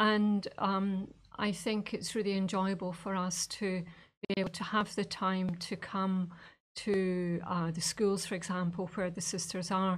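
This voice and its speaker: A woman's somewhat breathy, medium-pitched voice with a Scottish accent, monotone and flat, at a fairly slow pace, in a very clean recording with a silent background. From Scotland. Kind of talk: interview. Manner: hesitant, many fillers.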